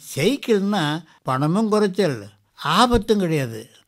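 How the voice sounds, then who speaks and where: This is a man speaking. His intonation is lively. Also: very clean recording, silent background. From Ariyalur, Tamil Nadu, India. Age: 80s+. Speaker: retired schoolteacher and debut film actor. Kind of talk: interview answer. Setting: radio interview.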